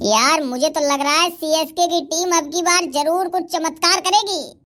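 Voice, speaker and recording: A man puts on a cartoonish character voice, pitched extremely high and delivered at a fairly quick pace. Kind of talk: cartoon comedy dialogue. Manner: brash, quick-tempered.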